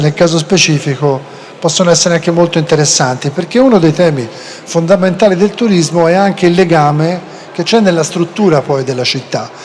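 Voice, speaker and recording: A fairly quick voice with a Florentine accent and ordinary pitch variation, over noticeable background noise. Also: man. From Florence, Tuscany. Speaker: panel moderator. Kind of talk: panel discussion moderation.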